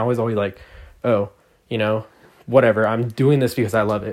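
An animated man at a fairly quick pace and medium pitch for a man, on a very clean recording with a silent background. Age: 20s. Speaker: music producer and DJ podcaster. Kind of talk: solo monologue podcast. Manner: rambling, animated.

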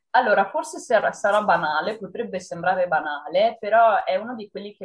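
A woman speaks in a normal speaking voice at a moderate pace, her medium pitch carried by lively intonation. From northern Italy, Padua province. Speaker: horror writer. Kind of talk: interview. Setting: video call.

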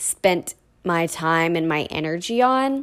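With a normal speaking voice, a woman talks at a fairly slow pace at a fairly low pitch. The recording is very clean, with a silent background. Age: 20s. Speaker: podcast host. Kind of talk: solo monologue.

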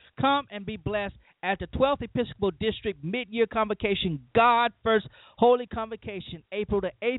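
A man talks in a high voice for a man, with ordinary pitch variation and an American accent. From Louisiana, US South. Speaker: pastor and radio host. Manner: earnest, preacherly, emphatic; reads event ad in a bright, promotional tone, upbeat announcer pitch.

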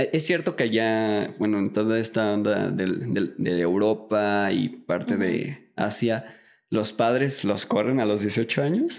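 A man speaks very slowly at a fairly low pitch with ordinary pitch variation. The recording is very clean, with a silent background. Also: very even loudness. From Mexico. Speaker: podcast host. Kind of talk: interview. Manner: casual.

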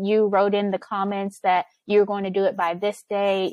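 A woman at medium pitch uses a normal speaking voice at a moderate pace, with a dry, close sound with no echo and a quiet background. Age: 30s. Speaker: business operations consultant. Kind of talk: interview.

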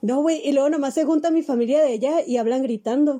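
A woman's high-pitched voice with a dark, mellow tone, ordinary pitch variation and a fairly quick pace. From Mexicali, Baja California, Mexico. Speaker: podcast host. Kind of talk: casual chat.

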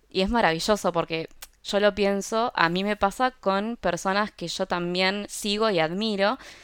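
A plain, everyday voice speaks at a fairly slow pace with fairly even intonation in a very clean recording with a silent background. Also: woman, medium pitch for a woman. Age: 30s. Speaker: product designer and health influencer. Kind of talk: interview conversation.

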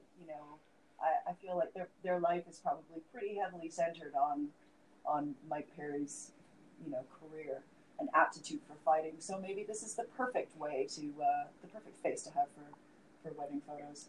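A plain, everyday voice from a woman, fairly low in pitch, with ordinary pitch variation, big swings in loudness and a moderate pace. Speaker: MMA podcast co-host. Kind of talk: casual chat.

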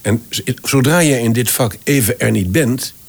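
A man speaks with a French accent, his pitch swinging very widely, with vocal fry. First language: French (speaking Dutch). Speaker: voice actor and voice director. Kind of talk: interview conversation. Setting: at his home.

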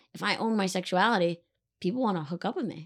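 A woman speaks very fast with an American accent, her pitch medium and its variation ordinary. The recording is very clean, with a silent background. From Connecticut. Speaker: comedian. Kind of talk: casual chat.

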